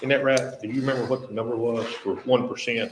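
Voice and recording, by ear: Fairly quick, fairly even-toned speech from a man. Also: medium pitch for a man.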